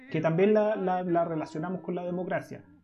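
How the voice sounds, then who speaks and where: Music plays in the background. A man is speaking. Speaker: podcast co-host. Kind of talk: casual chat.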